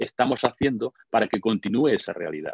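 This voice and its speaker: At a fairly quick pace, a man talks in an unremarkable speaking voice of medium pitch. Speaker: lecturer on gender and masculinity. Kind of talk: online conference talk. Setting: online webinar.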